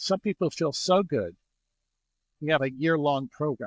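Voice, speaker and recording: An ordinary speaking voice moves at a moderate pace with ordinary pitch variation. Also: man, very clean recording, silent background. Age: 60s. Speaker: energy healing practitioner. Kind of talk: interview.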